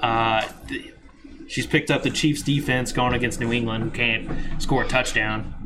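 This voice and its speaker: A man with a plain, everyday voice, medium in pitch, at a moderate pace and with fairly even intonation. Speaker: fantasy football podcast host. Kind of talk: casual chat. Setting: garage, live recording.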